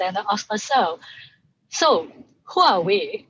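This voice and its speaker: A woman with a Hong Kong accent speaks at a medium pitch, sounding somewhat breathy. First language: Cantonese. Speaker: sound artist. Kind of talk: casual chat.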